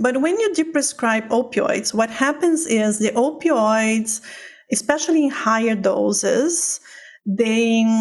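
At a very slow pace, a woman with a Portuguese accent speaks at a fairly high pitch with ordinary pitch variation. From Brazil, Sao Paulo. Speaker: physician and pain researcher. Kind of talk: interview. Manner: loud.

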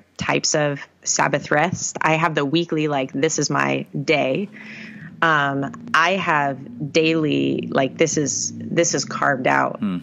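At a fairly slow pace, a woman with a very deep, low pitch and vocal fry speaks with ordinary pitch variation. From New England. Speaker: youth ministry director. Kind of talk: interview.

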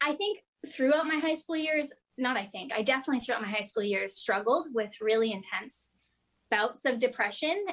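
Lively intonation in a Canadian accent. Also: woman. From rural eastern Ontario, Canada. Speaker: guest youth speaker. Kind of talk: testimony. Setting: video call.

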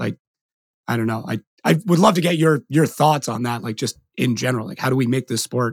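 With lively intonation and some vocal fry, a man speaks at a medium pitch and moderate pace in a dry, close sound with no echo. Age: 30s. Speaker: podcast host. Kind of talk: casual chat. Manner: animated.

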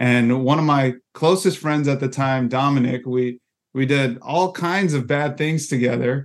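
The speech moves at a fairly slow pace, with fairly even intonation and very even loudness. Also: man, fairly high pitch for a man. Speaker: campus ministry regional director. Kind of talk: podcast interview. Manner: halting, repeats words.

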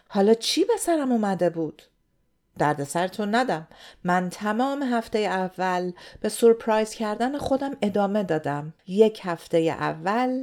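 At a fairly slow pace, a woman speaks in a fairly high pitch with very wide pitch swings. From Iran. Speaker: podcast host. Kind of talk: scripted narration.

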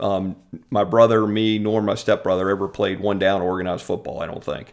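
Delivery is at a moderate pace. It is a normal speaking voice. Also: man. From central Virginia (Richmond, Ashland). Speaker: lawyer and adjunct law teacher. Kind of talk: casual interview.

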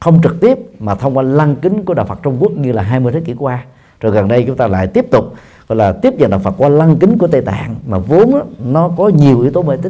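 Very fast delivery with vocal fry, a dark, mellow tone and very wide pitch swings. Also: man, fairly high pitch for a man. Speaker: Buddhist monk and dharma teacher. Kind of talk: dharma talk answering audience questions. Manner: halting with frequent fillers.

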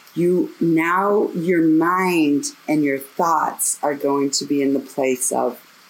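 Over noticeable background noise, a woman with a very deep, low pitch speaks at a very slow pace with fairly even intonation. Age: 50s. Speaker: meditation teacher. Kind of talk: casual chat; guided meditation. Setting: outdoors.

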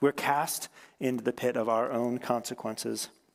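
A man with a medium pitch talks in a monotone, flat intonation. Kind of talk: sermon. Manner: conversational, informal teaching with asides and humor; rhetorical repetition, building emphasis.

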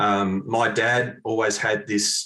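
Talking at a fairly low pitch, a man speaks with an Australian accent. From Australia, Mount Eliza, Victoria. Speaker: golf club fitting specialist. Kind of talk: casual interview.

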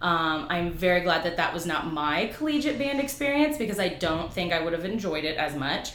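Recorded with audible room echo and noticeable background noise, a woman speaks at a fairly low pitch that swings very widely. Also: fairly quick pace. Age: 30s. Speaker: PhD candidate and former special education teacher. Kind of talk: interview.

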